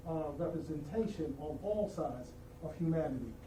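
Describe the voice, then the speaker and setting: A man with an American accent speaks at a moderate pace and a fairly high pitch. Noticeable background noise and audible room echo fill the recording. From US, New York City. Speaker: diversity and inclusion officer. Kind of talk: formal meeting remarks. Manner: halting, many fillers.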